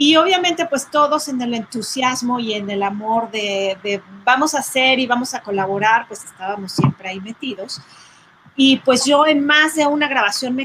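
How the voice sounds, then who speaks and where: Against noticeable background noise, a woman speaks at a moderate pace with a high pitch and lively intonation. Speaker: sound engineer and record producer. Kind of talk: casual chat.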